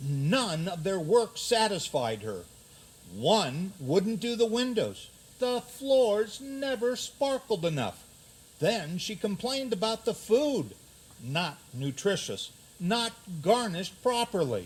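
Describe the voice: A man speaks slowly in a put-on character voice, pitched high for a man. His pitch swings widely, with a slightly husky edge.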